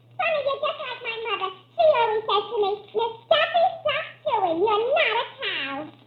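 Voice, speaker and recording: Using a put-on character voice, a woman talks at an extremely high pitch with very wide pitch swings and a moderate pace. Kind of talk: 1940s radio comedy. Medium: old radio play. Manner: ditzy, breathless.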